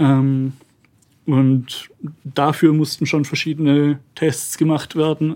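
Very slowly and with long, frequent pauses, a man speaks at a fairly high pitch in a dark, mellow tone and a monotone, flat intonation. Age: 20s. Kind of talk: interview.

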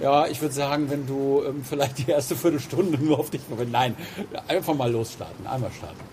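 Amid noticeable background noise, a man talks at a fairly quick pace and fairly high pitch with fairly even intonation. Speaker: podcast host, banker. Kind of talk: casual interview. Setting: outdoors, walking in a city park.

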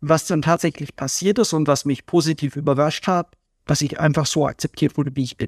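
A man with an ordinary speaking voice, fairly high pitch, fairly even intonation, and a fairly quick pace against a quiet background. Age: 20s. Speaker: guest musician and IT contract manager. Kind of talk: casual interview.

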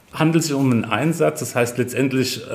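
A man's medium-pitched voice with ordinary pitch variation, set against noticeable background noise. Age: 50s. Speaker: head of emergency dispatch centre, fire service officer. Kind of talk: interview, explaining work.

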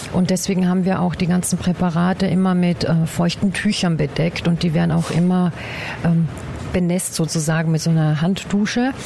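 The delivery holds a moderate pace, very even loudness and fairly even intonation, with noticeable background noise behind it. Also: woman, fairly low pitch for a woman. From Upper Austria, Bad Ischl. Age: 40s. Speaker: anatomical preparator, former nurse. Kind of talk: interview. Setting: workshop hall. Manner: hesitant, many filler sounds.

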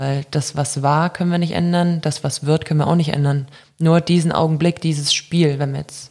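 Here a woman speaks with a very deep, low pitch and monotone, flat intonation. Her voice is somewhat breathy and her pace moderate. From Germany (born in Belarus, moved as child). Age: 20s. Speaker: professional handball player. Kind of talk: casual interview. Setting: on location at her studio.

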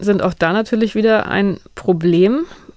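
This woman has an ordinary speaking voice at a medium pitch and talks at a moderate pace. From northern Germany. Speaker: science journalist, podcast host. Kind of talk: casual chat.

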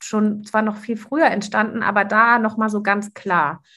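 A woman has a normal speaking voice and a fairly high pitch. She talks at a fairly slow pace over a quiet background. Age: 40s. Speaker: coach and podcast host. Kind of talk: casual interview chat.

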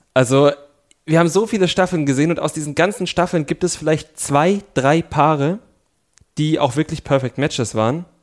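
A man speaks at a moderate pace in a fairly high pitch, with ordinary pitch variation and a plain, everyday voice. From East Germany. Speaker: podcast co-host. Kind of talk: casual chat. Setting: studio.

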